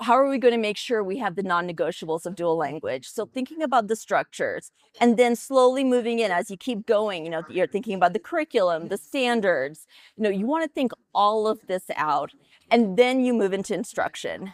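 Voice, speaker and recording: Her pitch fairly high and swinging very widely, a woman talks at a fairly quick pace with a dry, close sound and no echo. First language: Tamil. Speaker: dual language education consultant. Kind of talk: interview.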